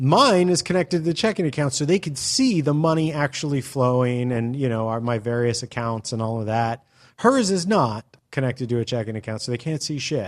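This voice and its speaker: On a very clean recording with a silent background, a man at a medium pitch talks at a fairly quick pace with lively intonation. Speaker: podcast co-host. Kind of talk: casual chat. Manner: animated.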